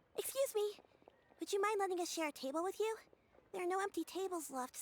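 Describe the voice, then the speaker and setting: A woman's squeaky put-on character voice, extremely high-pitched and very fast, with lively intonation and a dry, close sound with no echo. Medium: video game.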